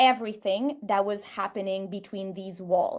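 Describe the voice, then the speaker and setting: In a French Canadian accent, a woman speaks at a moderate pace with ordinary pitch variation over a quiet background. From Quebec, Canada. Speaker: sports psychologist and creativity researcher. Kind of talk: podcast interview.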